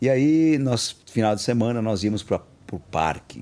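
The pace is very slow. A man speaks in a dark, mellow tone. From Bahia, raised in São Paulo from age four. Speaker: kung fu master. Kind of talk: interview conversation.

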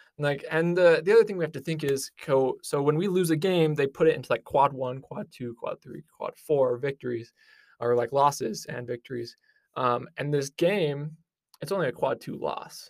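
With a Utah accent, a man speaks at a moderate pace in a fairly high voice with ordinary pitch variation and big swings in loudness, recorded dry and close without echo. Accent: American, Utah. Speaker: sports podcast co-host, student. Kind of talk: casual sports chat.

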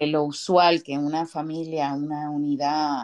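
Very slowly, a woman with a very deep, low pitch speaks in monotone, flat intonation against a quiet background. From Puerto Rico. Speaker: podcast co-host. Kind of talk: casual chat.

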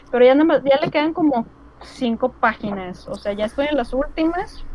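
Noticeable background noise accompanies a woman with a high pitch. She speaks at a moderate pace with lively intonation. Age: 30s. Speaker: illustrator and language student. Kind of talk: casual interview. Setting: video call.

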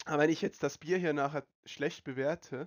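A man is speaking. His pitch is fairly high. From Switzerland. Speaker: podcast host. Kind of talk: casual chat. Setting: online voice call.

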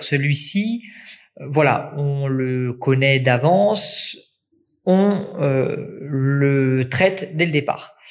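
This clip features a man talking. His pitch shows ordinary variation. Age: 20s. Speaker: nursing student and volunteer first-aider. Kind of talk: interview testimony. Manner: hesitant fillers (euh).

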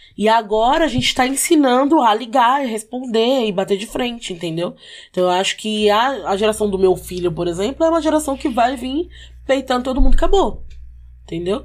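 A woman speaks in an ordinary speaking voice, fairly high in pitch, with lively intonation. The recording is very clean, with a silent background. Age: 20s. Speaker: social media worker and braider. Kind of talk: casual chat.

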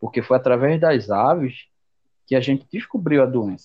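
Speaking fairly slowly, a man keeps a medium pitch with ordinary pitch variation. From Brazil, Jaboatão, Pernambuco. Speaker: veterinarian. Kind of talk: interview. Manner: halting.

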